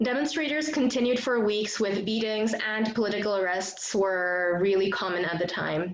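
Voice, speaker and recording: A woman's voice at a moderate pace, with ordinary pitch variation, hardly any pauses and very even loudness. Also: fairly high pitch for a woman. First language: Bengali. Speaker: student leader and event host. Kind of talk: event introduction. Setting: video call.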